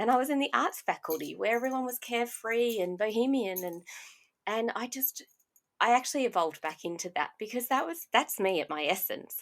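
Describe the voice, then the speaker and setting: A woman with an Australian accent talks at a fairly quick pace, her fairly high voice full of lively intonation, on a very clean recording with a silent background. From Australia (Brisbane area). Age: 40s. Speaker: podcast host and life coach. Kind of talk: personal monologue podcast.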